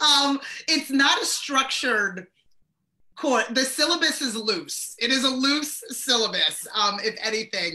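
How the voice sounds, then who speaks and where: A woman with a high pitch raises and projects her voice. Her intonation is lively and her pace fairly slow. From born in Sierra Leone, grew up in the US. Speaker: professor and marketing guest. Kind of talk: casual interview chat. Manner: loud; animated.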